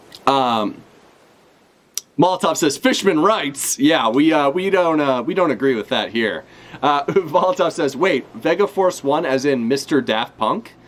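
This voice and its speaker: The delivery is fairly slow with lively intonation, set against noticeable background noise. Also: man, fairly high pitch for a man. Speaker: streamer reacting to manga chapter. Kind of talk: live reaction stream, casual chat. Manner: casual, hesitant with many fillers.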